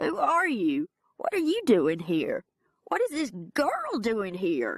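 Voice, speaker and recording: A put-on character voice, female-sounding and fairly high in pitch, is delivered at a fairly slow pace. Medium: read story.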